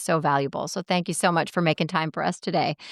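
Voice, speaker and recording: A woman speaks in a plain, everyday voice with an American accent, fairly low in pitch with ordinary variation, at a fairly quick pace, the sound dry and close with no echo on a very clean recording with a silent background. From Seattle. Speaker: podcast host. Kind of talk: interview closing and outro.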